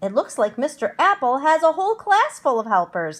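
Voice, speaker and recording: Putting on a character voice, a woman uses a high pitch with very wide swings. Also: moderate pace. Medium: read story.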